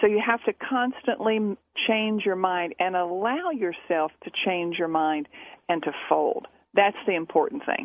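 A woman's plain, everyday voice at a medium pitch, fairly slow, with lively intonation. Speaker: poker coach and author. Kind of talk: casual radio interview. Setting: phone or remote radio interview.

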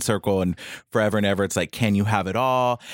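In a normal speaking voice with an American accent, a man talks at a fairly low pitch with fairly even intonation, the sound dry and close with no echo on a very clean recording with a silent background. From Texas, Bay City. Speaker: fashion blogger. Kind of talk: casual chat.

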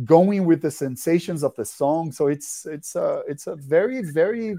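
With a Portuguese accent, a man speaks at a moderate pace in a dark, mellow tone with lively intonation. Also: very clean recording, silent background. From Brazil. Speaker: rock musician. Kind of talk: interview. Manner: halting.

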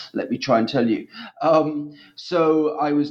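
Speaking at a fairly slow pace, a man talks with an East Anglian accent. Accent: English (East Anglia). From East England. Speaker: historian of language. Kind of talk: interview.

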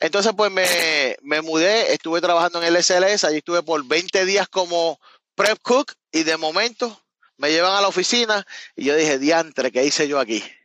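A man with a Puerto Rican accent speaks at a moderate pace in a high pitch, with ordinary pitch variation and very even loudness. His tone is bright and sharp, and the sound is dry and close with no echo. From Puerto Rico, Cabo Rojo. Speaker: truck owner-operator, former chef. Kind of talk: casual interview chat.

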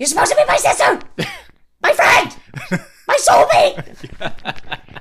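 This put-on character voice is extremely high in pitch and moves at a fairly slow pace. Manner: screeching, raging.

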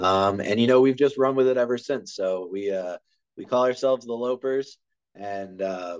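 In a normal speaking voice, a man with an American accent talks at a medium pitch and moderate pace, with ordinary pitch variation. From Maryland, US (Harford County). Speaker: college soccer coach. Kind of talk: casual interview.

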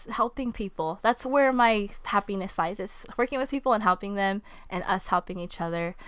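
On a very clean recording with a silent background, a woman speaks at a medium pitch and a moderate pace with ordinary pitch variation. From Southern California, Ventura County. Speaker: substitute teacher and small baking business owner. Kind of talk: casual interview chat.

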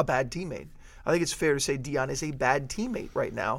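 A man's unremarkable speaking voice, fairly high in pitch, with ordinary pitch variation. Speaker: sports podcast host. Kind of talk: casual sports talk podcast.

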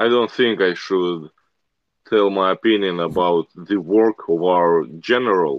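A man with a Russian accent, fairly low in pitch, at a fairly slow pace with ordinary pitch variation. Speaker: military medic. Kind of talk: interview. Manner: frequent laughter.

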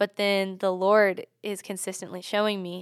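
With an American accent and an unremarkable speaking voice, a woman talks at a moderate pace and medium pitch with fairly even intonation, in a very clean recording with a silent background and a dry, close sound with no echo. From US South, Charlotte area, North Carolina. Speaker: university student and ministry group leader. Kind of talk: casual chat.

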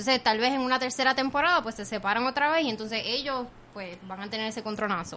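Over noticeable background noise, a woman talks at a very fast pace in a fairly high, animated voice with ordinary pitch variation and big swings in loudness. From Puerto Rico, Caguas. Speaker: podcaster and TV news contributor. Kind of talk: casual chat.

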